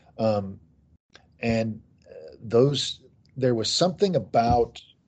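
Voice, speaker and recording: This man's tone is dark and mellow. His voice sits at a medium pitch. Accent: American. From US Midwest, Kansas City. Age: 50s. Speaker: author. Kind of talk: interview.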